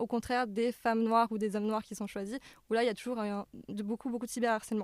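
A woman's fairly high-pitched voice, fairly quick and in a monotone, flat intonation, with a dry, close sound and no echo. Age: 20s. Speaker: pop culture media creator. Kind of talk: casual chat.

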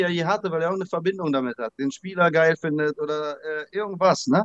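Dry and close with no echo, a man's high-pitched voice moves at a fairly quick pace with ordinary pitch variation. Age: 40s. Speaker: trading card collector. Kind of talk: interview.

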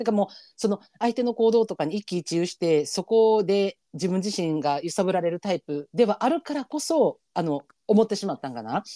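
An animated tone comes through in a Kansai accent at a moderate pace. The recording is very clean, with a silent background. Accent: Kansai Japanese. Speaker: podcast co-host. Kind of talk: casual chat with listener advice. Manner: animated, laughs often.

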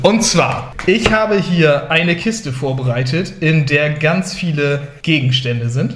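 Amid noticeable background noise and audible room echo, a man with a fairly high pitch talks in an animated tone with lively intonation. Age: 20s. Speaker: youth deacon and game host. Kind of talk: game show hosting.

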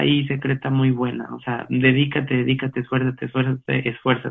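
With a normal speaking voice, a man talks at a medium pitch. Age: 30s. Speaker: church volunteer and business analyst. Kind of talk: casual interview chat. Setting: video call.

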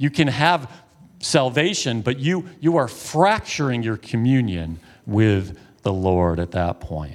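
On a very clean recording with a silent background, a man speaks very slowly at a medium pitch with very wide pitch swings. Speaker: pastor. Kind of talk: sermon. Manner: animated, hand gestures.

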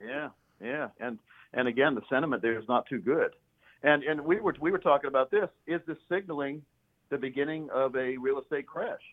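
A man's fairly high voice at a fairly quick pace, with ordinary pitch variation and a normal speaking voice. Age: 50s. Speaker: financial planner and radio host. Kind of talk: casual interview.

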